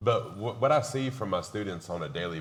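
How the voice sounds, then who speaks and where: Audible room echo around a man's voice, its pitch swinging very widely. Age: 50s. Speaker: community college instructor and streamer. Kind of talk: panel discussion. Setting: stage with audience at expo.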